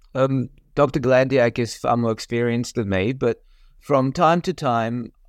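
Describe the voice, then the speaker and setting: Dry and close with no echo, a man's voice in an Australian accent shows ordinary pitch variation. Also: quiet background. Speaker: colorectal surgeon. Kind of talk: educational medical discussion.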